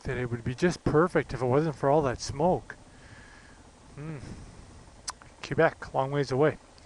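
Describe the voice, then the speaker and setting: A man's fairly high voice at a moderate pace, fairly even in intonation, with long, frequent pauses. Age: 60s. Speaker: motorcycle vlogger. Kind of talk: casual vlog monologue while riding.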